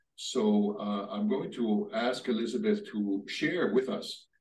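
Audible room echo surrounds a man who speaks at a fairly slow pace with very wide pitch swings. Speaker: leader of a religious order. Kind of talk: panel discussion. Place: home room. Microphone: camera far.

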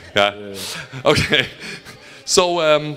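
A man's very slow speech, fairly high in pitch, in a German accent. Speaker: fan talk host and interpreter; fan talk host. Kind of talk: live fan Q&A with interpreting. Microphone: handheld.

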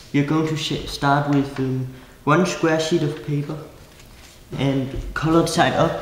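A man's fairly high voice at a very slow pace, fairly even in intonation, with light background noise and audible room echo. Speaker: origami designer. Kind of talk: craft tutorial instructions.

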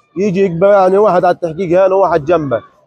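Faint music plays in the background behind a man with a high pitch. He talks at a fairly quick pace, and the sound is dry with no echo. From Gaza, Palestine; Palestine. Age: 20s. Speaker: released detainee. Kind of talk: testimony. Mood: grave, recounting abuse. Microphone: lapel.

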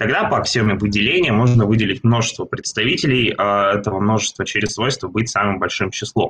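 A man with a medium pitch speaks at a fairly quick pace, keeping his intonation fairly even. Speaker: seminar presenter. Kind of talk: lecture. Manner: halting. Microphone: video call.

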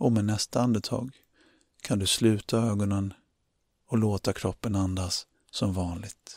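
Speaking with a gentle, calm tone, a man uses a fairly low pitch and fairly even intonation at a fairly slow pace, with long, frequent pauses and a dry, close sound with no echo. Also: very clean recording, silent background. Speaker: meditation guide. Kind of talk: guided meditation, calm instructions addressed to the listener. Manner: slow, soothing, with long pauses between instructions; gentle, calm and encouraging.

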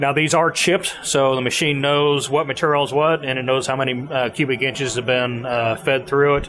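A man talks at a fairly quick pace with ordinary pitch variation. Noticeable background noise runs behind him. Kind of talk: interview answer. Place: workshop. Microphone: handheld.

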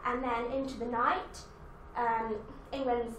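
A woman with a high voice talks at a moderate pace over light background noise, with audible room echo. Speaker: student weather presenter. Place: studio.

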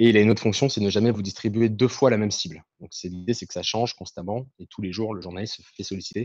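Against a quiet background, a man with a fairly low pitch and fairly even intonation talks in an ordinary speaking voice, the sound dry with no echo. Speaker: activist organizer. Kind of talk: explanation. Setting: video call.

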